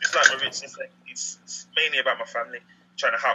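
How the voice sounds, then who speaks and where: A man talks at a very fast pace. He has a Birmingham accent. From England, Birmingham. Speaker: business team member. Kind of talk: self-introduction. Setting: video call. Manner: halting, repetitive.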